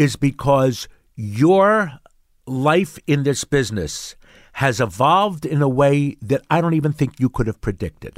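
Recorded very cleanly against a silent background with a dry, close sound and no echo, a man with a Mid-Atlantic American accent speaks at a fairly slow pace, his fairly high pitch carried by lively intonation. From Pennsylvania, Bucks County. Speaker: character actor. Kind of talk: casual interview chat.

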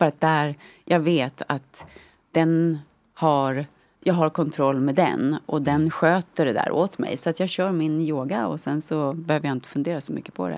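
A silent background and very clean recording, the pitch varying in an ordinary way. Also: woman, very deep, low pitch for a woman, moderate pace. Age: 50s. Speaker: yoga influencer. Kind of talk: casual chat.

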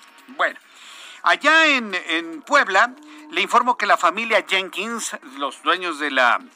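A man projects a raised voice at a very slow pace, his high pitch making very wide swings. The tone is bright and sharp, and the sound is dry and close with no echo. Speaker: radio news anchor. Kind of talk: radio news show. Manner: animated.

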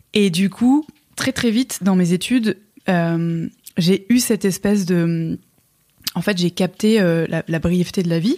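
Very slowly and at very even loudness, a woman speaks at a medium pitch with ordinary pitch variation, in a dry, close sound with no echo. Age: 30s. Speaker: media co-founder. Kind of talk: casual chat.

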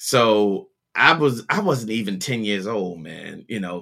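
A man with a Baltimore accent speaks in a bright, sharp tone with ordinary pitch variation. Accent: Baltimore American. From US, Baltimore. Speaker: music producer and DJ. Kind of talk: interview conversation.

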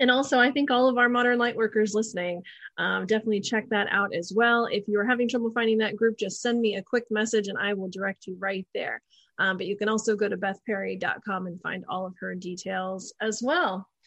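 With an ordinary speaking voice, a woman talks at a fairly quick pace and fairly high pitch. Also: fairly even intonation. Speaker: podcast host. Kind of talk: casual chat. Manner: informal, chatty.

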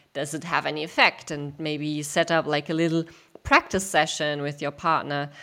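A woman speaks with a very deep, low pitch and fairly even intonation at a moderate pace. The recording is very clean, with a silent background. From Germany. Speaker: sex educator and company founder. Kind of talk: interview. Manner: hesitant, many fillers.

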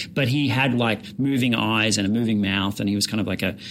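A man's fairly low voice in an Australian accent, at a fairly quick pace with fairly even intonation. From rural Victoria, Australia. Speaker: comedian and puppeteer. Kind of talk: casual chat.

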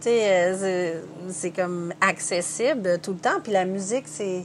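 A very slow pace with ordinary pitch variation. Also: woman. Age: 40s. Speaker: painter, singer and hairdresser. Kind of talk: interview.

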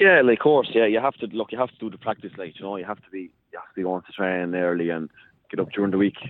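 This man talks at a very fast pace in an Irish accent, his pitch fairly low with ordinary variation. His loudness swings widely. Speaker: hurler. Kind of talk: interview. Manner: halting.

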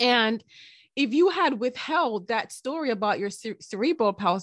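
A woman with an unremarkable speaking voice talks at a moderate pace and fairly high pitch, her intonation lively, in a dry, close sound with no echo against a quiet background. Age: 40s. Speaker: podcast host. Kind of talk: interview.

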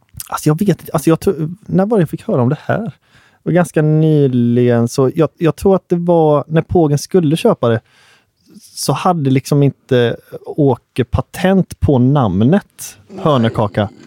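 In a dry, close recording with no echo, a man with a dark, mellow tone and fairly high pitch talks at a moderate pace with lively intonation. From Gothenburg northern archipelago (Hönö), Sweden. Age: 20s. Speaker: musician (trumpet player). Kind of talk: casual chat.

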